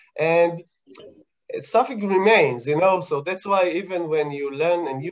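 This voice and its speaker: A man with an Israeli accent speaks in a high pitch. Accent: Hebrew. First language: Hebrew. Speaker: scientist answering kids' questions. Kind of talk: casual explanatory chat with kids. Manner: halting, many fillers.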